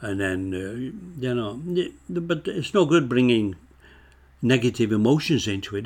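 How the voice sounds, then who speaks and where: Speaking fairly slowly in a Lancashire accent, a man uses medium pitch and lively intonation. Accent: northern English (Lancashire). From northern England. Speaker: author. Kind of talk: casual interview chat.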